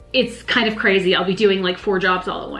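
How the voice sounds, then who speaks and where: Backed by music, a woman talks with an American accent. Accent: minimal Southern accent, most say none. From US South, north Georgia Appalachians. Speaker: live wedding painter. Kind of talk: casual Q&A monologue.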